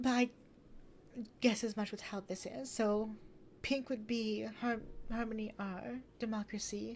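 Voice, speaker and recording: A woman with a fairly high pitch speaks at a fairly slow pace with fairly even intonation and long, frequent pauses. Her voice is somewhat breathy. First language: not English. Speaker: gaming streamer. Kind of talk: gameplay commentary.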